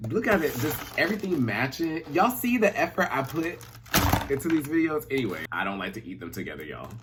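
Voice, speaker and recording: Over noticeable background noise, a man talks at a fairly quick pace in an animated tone with very wide pitch swings. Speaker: YouTuber, pop culture commentator. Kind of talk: casual vlog chat. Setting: his bedroom.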